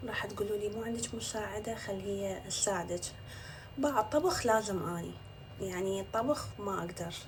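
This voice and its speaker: Noticeable background noise sits behind a woman. She talks at a fairly slow pace. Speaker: social media influencer. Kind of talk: casual vlog talk to camera. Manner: chatty.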